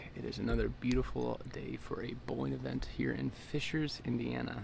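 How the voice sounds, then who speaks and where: There's clear room echo around a man's voice. Background noise is also noticeable. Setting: empty bowling center.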